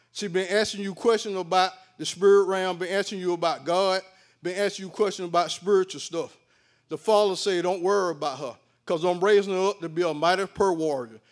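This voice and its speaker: Fairly quick speech in a Southern US accent, with fairly even intonation, on a very clean recording with a silent background. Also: man, high pitch for a man. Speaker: lay prophetic minister. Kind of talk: prophecy.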